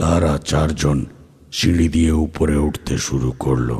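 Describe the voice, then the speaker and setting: In a put-on character voice, a man speaks at a very slow pace with a very deep, low pitch. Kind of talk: horror narration. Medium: audio drama.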